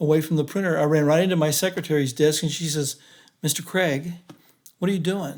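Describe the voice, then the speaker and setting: A man speaks at a fairly quick pace, his fairly high voice holding a fairly even intonation. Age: 60s. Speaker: engineer, stroke survivor. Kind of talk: podcast interview, personal testimony. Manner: halting.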